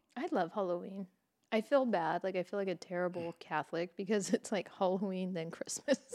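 A woman with an American accent speaks at a fairly quick pace in an animated tone. Her medium pitch has ordinary variation, and the sound is dry and close with no echo. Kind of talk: casual banter, comedy podcast. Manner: joking, animated, laughs a lot.

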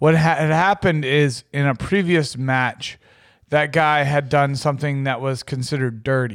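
This man has an unremarkable speaking voice, fairly high in pitch, with ordinary pitch variation at a moderate pace. The recording is very clean and the background silent. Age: 30s. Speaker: podcast co-host. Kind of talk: casual chat.

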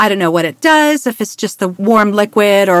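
Her pitch is medium and her pace moderate. The woman's sound is dry and close, with no echo. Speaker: voice actor and retired naval officer. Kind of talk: casual interview.

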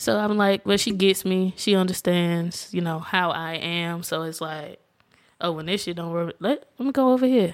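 On a very clean recording with a silent background, a woman with a Southern US accent talks at fairly low pitch with ordinary pitch variation. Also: moderate pace. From Alabama. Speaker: guest, friend and cousin of host. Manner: calm, soft-spoken.

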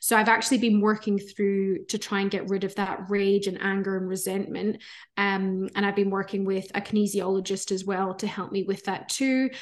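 A woman with a Scottish accent speaks at a moderate pace with hardly any pauses. Her medium-pitched voice stays flat and monotone against a quiet background. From Scotland. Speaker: breathwork facilitator. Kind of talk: casual interview chat.

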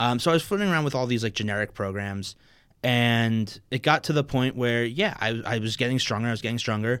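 This is a plain, everyday voice with ordinary pitch variation at a fairly quick pace. The recording is very clean with a silent background. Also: man, medium pitch for a man. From New Jersey (Maplewood). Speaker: competitive powerlifter. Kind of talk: casual chat.

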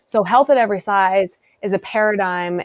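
An ordinary speaking voice moves at a fairly slow pace. The sound is dry and close, with no echo. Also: woman. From US Midwest (South Dakota). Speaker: dietitian. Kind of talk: interview.

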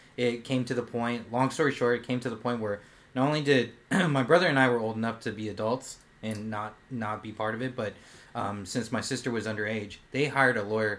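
With an American accent and a normal speaking voice, a man talks fairly quickly at a medium pitch, showing ordinary pitch variation. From Japanese American, family from Oahu. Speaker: podcast co-host, salesperson. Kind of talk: casual chat.

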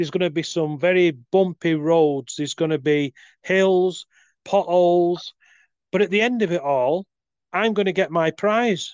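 With a British accent, a man talks at a moderate pace in a high voice with ordinary pitch variation, the sound dry and close with no echo against a quiet background. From UK. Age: 40s. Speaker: life coach. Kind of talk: casual chat. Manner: talkative, long monologues.

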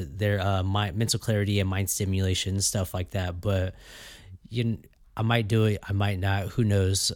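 Very cleanly recorded against a silent background, a man speaks with a Californian accent. His pitch is fairly low and his intonation fairly even. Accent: Californian American English. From US West Coast (Fresno, California). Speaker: podcast host. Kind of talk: casual solo monologue. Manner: hesitant, many fillers and repeats.

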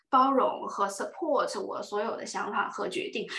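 Speaking rather slowly, a woman's voice carries through a room with audible echo. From China, Yunnan (Dali). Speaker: career and relationship blogger. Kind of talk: casual chat.

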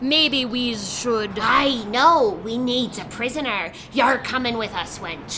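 A female-sounding voice is put on as a high-pitched character. Clear background noise runs underneath. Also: fairly slow pace. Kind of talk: put-on pirate growl. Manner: blustering, theatrical.

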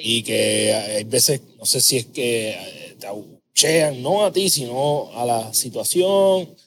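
A very slow, medium-pitched male voice with lively intonation and hardly any pauses. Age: 30s. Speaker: podcast host, habits coach. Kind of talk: casual interview chat; scripted intro.

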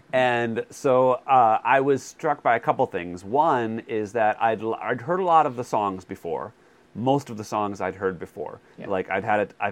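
A man's plain, everyday voice at medium pitch, with ordinary pitch variation and a fairly slow pace. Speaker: podcast co-host, movie buff. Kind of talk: casual chat.

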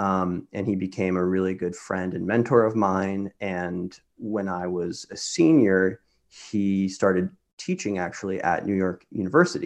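With an American accent, a man speaks at a very deep, low pitch and a fairly slow pace. His intonation is fairly even, over a quiet background. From Kansas. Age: 20s. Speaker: medical school applicant, former music student. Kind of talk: casual interview chat.

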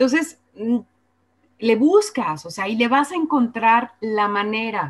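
At a very slow pace with long, frequent pauses, a woman's fairly high voice swings very widely in pitch. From Guadalajara, Mexico. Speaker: radio presenter. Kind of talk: casual interview.

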